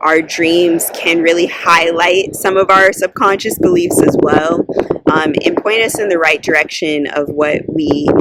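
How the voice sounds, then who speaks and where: A woman with a fairly low pitch speaks at a fairly slow pace over noticeable background noise. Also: fairly even intonation. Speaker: spiritual content creator. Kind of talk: casual talk to camera. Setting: outdoors in nature. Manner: hesitant with fillers.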